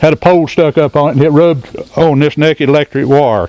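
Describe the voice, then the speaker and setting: Someone with an Appalachian accent speaks at a very fast pace. The sound is dry and close with no echo, over noticeable background noise. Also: man. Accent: Appalachian Southern US. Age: 70s. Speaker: retired coal miner. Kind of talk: guided tour talk. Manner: hesitant, folksy.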